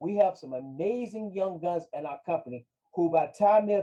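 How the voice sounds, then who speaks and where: A man with an American accent speaks at a moderate pace, his pitch high and his intonation lively. His tone is dark and mellow. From Virginia (Hampton). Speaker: financial advisor. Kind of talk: interview.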